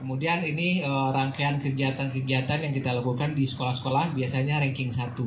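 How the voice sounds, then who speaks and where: A man talks in a monotone, flat way at very even loudness. Noticeable noise sits in the background. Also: fairly quick pace, hardly any pauses. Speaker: telecom brand sales manager. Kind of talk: press event presentation. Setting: media gathering event. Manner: halting, many fillers. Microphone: pa.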